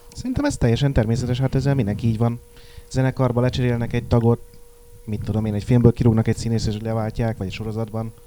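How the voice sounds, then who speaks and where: A man talks at a very fast pace in a monotone, flat intonation over noticeable background noise. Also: medium pitch for a man. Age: young. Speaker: magazine editor. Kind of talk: casual chat.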